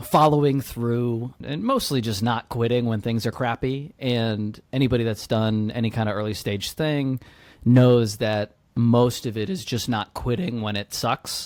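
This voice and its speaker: A man's normal speaking voice with an American accent, medium pitch and fairly even intonation, on a very clean recording with a silent background. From US South, Georgia near Atlanta. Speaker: startup founder, military veteran. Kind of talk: podcast interview. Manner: casual, filler-heavy.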